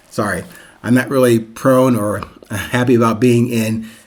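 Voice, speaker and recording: At a moderate pace, a man speaks with medium pitch and fairly even intonation. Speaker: podcast host and author. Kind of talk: solo podcast monologue. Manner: rambling.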